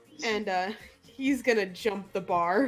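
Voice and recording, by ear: Over faint music in the background, a woman speaks at a slow pace with a medium pitch and ordinary pitch variation.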